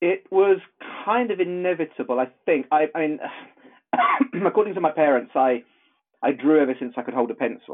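A man with an English accent, fairly high pitch and lively intonation, talking at a fairly quick pace with long, frequent pauses. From southern England. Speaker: illustrator and animator. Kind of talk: interview.

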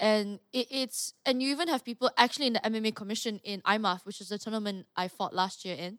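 A woman talks fairly quickly in a plain, everyday voice, pitched fairly high. Her pitch varies in an ordinary way, and the recording is very clean with a silent background. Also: dry, close sound with no echo. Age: 20s. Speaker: mixed martial artist. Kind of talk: casual chat.

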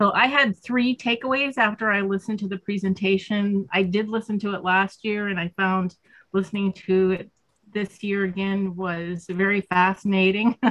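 The sound is dry and close, with no echo. A woman speaks in a normal speaking voice at a medium pitch and a moderate pace. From Northwestern Pennsylvania. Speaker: peace advocacy volunteer presenter. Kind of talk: group call presentation. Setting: video call.

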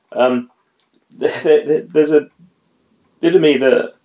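The man's pitch is fairly high. He talks at a moderate speed. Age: middle-aged. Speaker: guest reader, father. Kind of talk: casual chat. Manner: hesitant, many fillers.

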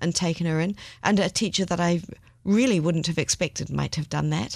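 Her voice fairly low in pitch, a woman speaks with fairly even intonation in a quiet background. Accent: New Zealand. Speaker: podcast co-host. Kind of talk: casual chat.

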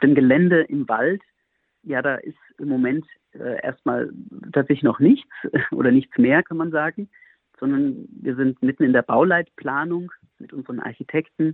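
A man's fairly high voice at a moderate pace, with ordinary pitch variation, big swings in loudness, and long, frequent pauses. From Germany, near Frankfurt am Main (Hesse). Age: 40s. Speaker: monk and priest. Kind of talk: radio interview.

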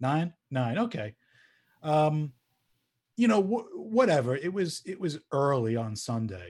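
With an American accent, a man talks at a fairly slow pace in a somewhat breathy, fairly high voice, his pitch swinging very widely between long, frequent pauses, on a very clean recording with a silent background. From US Northeast, Long Island. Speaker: former college radio music director. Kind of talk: casual interview. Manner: halting, many fillers.

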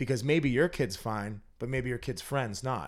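A man with an American accent has an ordinary speaking voice at medium pitch, with ordinary pitch variation and a moderate pace. The recording is very clean, with a silent background. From Massachusetts, North Andover. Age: 30s. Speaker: recovering addict, business owner. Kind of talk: interview, personal testimony.

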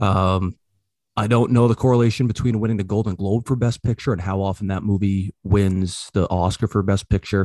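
Fairly low in pitch, the man's voice has a dark, mellow tone. He talks at a fairly quick pace with fairly even intonation. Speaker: podcast host. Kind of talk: casual chat, movie review podcast.

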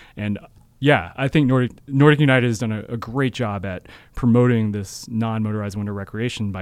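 This voice has an American accent. The pace is moderate. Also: man. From US Pacific Northwest, Seattle. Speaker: ski race director. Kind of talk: casual interview. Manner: halting, many fillers.

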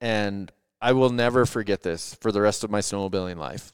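The pace is moderate, the intonation fairly even, and the recording very clean with a silent background. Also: man. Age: 40s. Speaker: podcast host and backcountry snowmobile guide. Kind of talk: casual chat. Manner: halting, many fillers.

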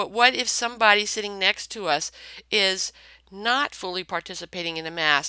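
In a plain, everyday voice, a woman speaks at a moderate pace with lively intonation. The sound is dry and close with no echo, and the recording is very clean, with a silent background. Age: 60s. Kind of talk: faith talk, spoken reflection. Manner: conversational with frequent fillers.

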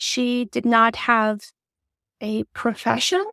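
In a Turkish accent, a woman with a high pitch speaks at a very slow pace, the sound dry and close with no echo. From Turkey. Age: 30s. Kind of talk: interview.

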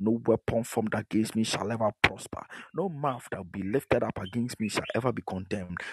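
A man talks at a fairly quick pace in a medium pitch with ordinary pitch variation. His tone is animated, and the sound is dry and close with no echo. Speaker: pastor. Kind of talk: sermon and fervent prayer. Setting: online broadcast with remote audience. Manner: animated, urgent, repetitive exhortation; commanding, fervent prayer.

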